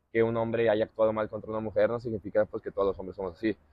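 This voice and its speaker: A man talks with a Mexican accent. The sound is dry, with no echo. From Mexico. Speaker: podcast host, former footballer; podcast host. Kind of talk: casual chat. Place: garden. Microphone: lapel.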